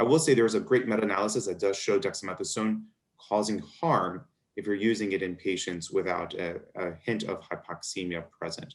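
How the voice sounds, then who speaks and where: A man with an American accent talks at a fairly quick pace in a fairly low voice. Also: ordinary pitch variation. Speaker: physician moderating a medical webinar. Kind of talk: webinar Q&A moderation.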